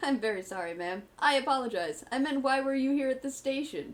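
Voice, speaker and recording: Putting on a character voice, a woman speaks fairly quickly at a high pitch with lively intonation. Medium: actual play. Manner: polite, earnest.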